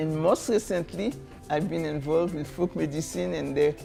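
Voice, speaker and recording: A woman speaks with a Haitian accent. Music plays in the background. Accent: Haitian Creole. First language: Haitian Creole. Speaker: storyteller. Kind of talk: interview answer.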